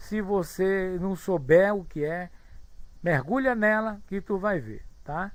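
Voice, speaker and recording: A man talks at a high pitch. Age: 60s. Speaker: spiritist lecturer. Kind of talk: online study group talk, reading chat comments. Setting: live online video room.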